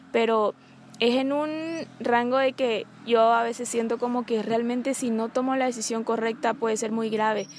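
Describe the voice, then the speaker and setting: Fairly even intonation and a moderate pace from a woman with a fairly high pitch. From Bolivia. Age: 20s. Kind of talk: personal testimony. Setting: outdoors among trees.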